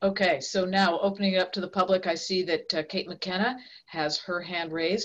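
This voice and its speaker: A woman with a medium pitch talks at a moderate pace. Her intonation is fairly even, and the background is quiet. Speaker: board chair. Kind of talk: public board meeting. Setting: video call. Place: home room. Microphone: video call.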